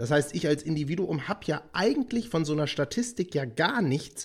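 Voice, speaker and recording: A man speaks at a moderate pace in a somewhat breathy voice. His fairly high pitch swings very widely. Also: very clean recording, silent background. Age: 30s. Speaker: podcast host. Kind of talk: casual interview chat.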